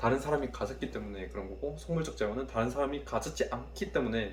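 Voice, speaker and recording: A man's fairly low, fry-edged voice at a fairly quick pace, with audible room echo. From Korea, Daegu. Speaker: university student vlogger. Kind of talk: study vlog, self-review of notes. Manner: casual, thinking aloud.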